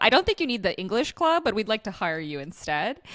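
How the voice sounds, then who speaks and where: With an American accent, a woman talks at a fairly quick pace over noticeable background noise. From US East Coast (Boston), Ukrainian-born. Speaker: recruitment business owner. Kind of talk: podcast interview.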